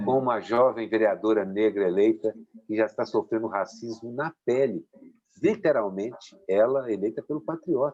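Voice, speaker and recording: A man's unremarkable speaking voice, pitched medium, moderately paced, with ordinary pitch variation. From Belo Horizonte, Minas Gerais, Brazil. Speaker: political cartoonist. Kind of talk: interview answer.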